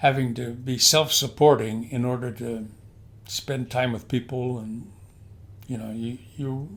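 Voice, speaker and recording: A man's medium-pitched, monotone voice at a fairly slow pace, with big swings in loudness. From US Pacific Northwest, Portland. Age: 80s+. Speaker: retired pastor. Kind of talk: casual interview. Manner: halting.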